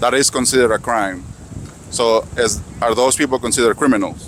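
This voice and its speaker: At a fairly quick pace, a man talks with a non-native accent. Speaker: street interviewer, YouTuber. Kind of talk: street interview with voice-over asides. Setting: outdoors at a protest.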